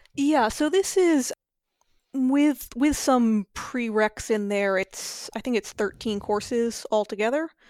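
A high-pitched woman with an American accent, very slow delivery, lively intonation and very even loudness, recorded dry and close with no echo. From US Southwest (New Mexico). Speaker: data scientist. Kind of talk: casual interview. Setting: remote recording from Chicago.

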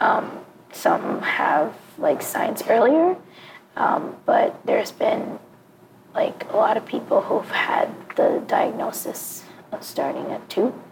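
A woman whispers at a very slow pace, with long, frequent pauses and noticeable background noise. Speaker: singer. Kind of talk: casual chat. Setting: in public place, recording on location.

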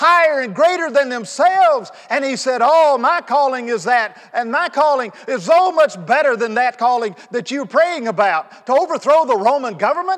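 Amid noticeable background noise, a man with an extremely high pitch talks at a moderate pace, his voice swinging very widely in pitch. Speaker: pastor. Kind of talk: sermon. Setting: church. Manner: animated; loud.

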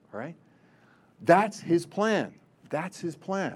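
A man speaks at a moderate pace and a high pitch. The background stays quiet. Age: 60s. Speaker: religious brother, retreat speaker. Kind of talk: retreat talk. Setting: retreat room with audience.

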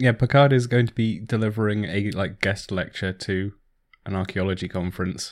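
Recorded very cleanly against a silent background, a man with a normal speaking voice talks at a moderate pace and a fairly low pitch, with ordinary pitch variation. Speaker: podcast co-host. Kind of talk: casual chat.

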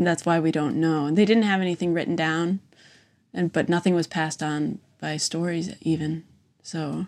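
At a moderate pace and with fairly even intonation, this speaker has a Midwestern American accent on a very clean recording with a silent background. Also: woman, fairly low pitch for a woman. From US Midwest (Wisconsin). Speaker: visual artist running an artist residency. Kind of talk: casual chat. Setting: in person, same room as host.

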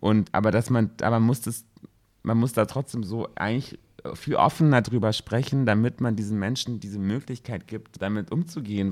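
Captured in a very clean recording with a silent background, a man speaks at a medium pitch with ordinary pitch variation. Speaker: podcast co-host. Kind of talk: casual chat.

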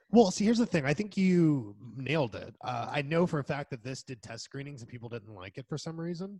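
A man's fairly high, dark, mellow and somewhat breathy voice, with very wide pitch swings, big swings in loudness and hardly any pauses. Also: fairly quick pace. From Spain. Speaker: film podcast co-host. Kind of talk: casual chat.

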